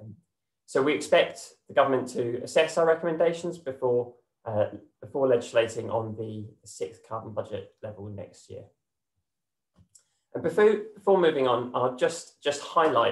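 A man talks at a moderate pace, somewhat breathy, with long, frequent pauses, audible room echo and a quiet background. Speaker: presenter. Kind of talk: presentation. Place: home room. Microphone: webcam.

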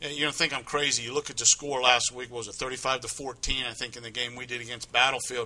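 A man's medium-pitched voice, monotone and flat, at a very fast pace. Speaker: sports co-host. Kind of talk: casual sports talk. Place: studio. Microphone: lapel.

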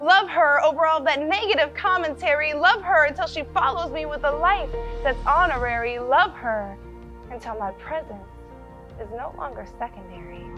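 A woman speaks in a raised, projected voice at a high pitch, at a moderate pace, with big swings in loudness and very wide pitch swings over music in the background. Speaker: spoken word poet. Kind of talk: spoken word poetry performance.

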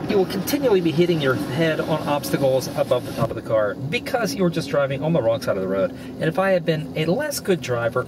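Noticeable background noise runs under a dry sound with no echo. A man talks at a very fast pace. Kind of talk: comic road rant monologue. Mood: mock-angry, humorous. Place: car. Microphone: camera far.

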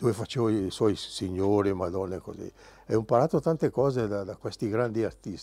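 Speaking at a fairly quick pace, a man has a fairly low pitch, a dark, mellow tone and ordinary pitch variation. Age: 70s. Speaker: artist. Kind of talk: interview. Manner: halting.

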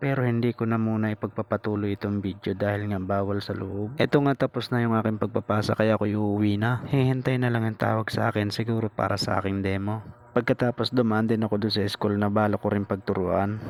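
Flat, monotone intonation runs at a fairly quick pace with hardly any pauses. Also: man, fairly low pitch for a man. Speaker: vlogger, returning teacher. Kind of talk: casual vlog narration. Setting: riding a motorbike, camera on lap.

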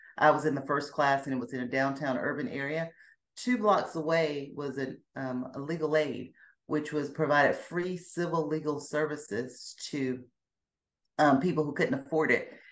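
A woman talks at a moderate pace with a very deep, low pitch. Her pitch varies in an ordinary way. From US South, Alabama and Georgia. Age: 50s. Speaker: former Jehovah's Witness; Witness. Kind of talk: interview, personal testimony. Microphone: video call.

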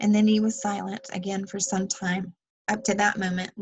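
Reading aloud in a natural voice, over a quiet background

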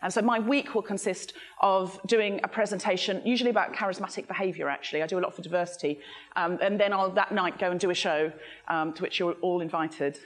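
A woman speaks at a very fast pace. Her pitch varies in an ordinary way. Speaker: speaker. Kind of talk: talk to a live audience, comic. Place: hall.

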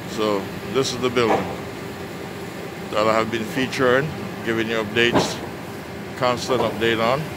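A man talks at a moderate pace over loud background noise, the sound dry with no echo. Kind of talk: casual vlog commentary. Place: street. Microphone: phone near.

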